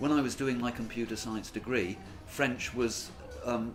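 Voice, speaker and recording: A man with a southern English accent at a moderate pace, with audible room echo and music in the background. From England (born Yorkshire, raised Oxford). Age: 60s. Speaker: English teacher and former exam examiner. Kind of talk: interview. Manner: hesitant, with fillers.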